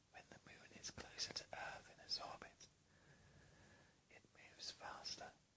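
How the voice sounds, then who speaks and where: A man whispers his words at a fairly slow pace. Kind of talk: ASMR relaxation whisper video. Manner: whispered, relaxing.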